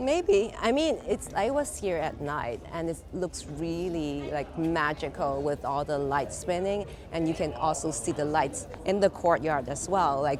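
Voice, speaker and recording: A woman at a fairly slow pace with ordinary pitch variation, over noticeable background noise. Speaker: artist. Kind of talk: interview. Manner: hesitant, filler-heavy.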